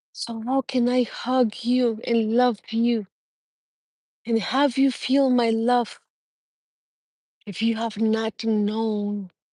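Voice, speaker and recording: Her tone dark and mellow, a woman with a non-native accent and a fairly high pitch speaks at a very slow pace in a monotone, flat intonation with long, frequent pauses. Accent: non-native, won't go away. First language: Spanish. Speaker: spiritual life coach. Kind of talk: livestream motivational talk. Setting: livestream. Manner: earnest, unscripted.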